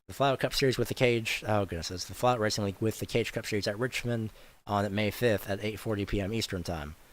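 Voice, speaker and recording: The speech comes at a very fast pace with fairly even intonation. The recording is very clean, with a silent background. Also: man, fairly low pitch for a man. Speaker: sim racing commentator. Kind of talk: live commentary. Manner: stumbling over words.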